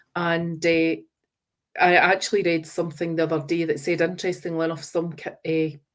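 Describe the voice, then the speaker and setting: With a West of Scotland accent, a woman talks at a fairly quick pace in a fairly low pitch. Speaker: teacher trainer. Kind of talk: webinar presentation.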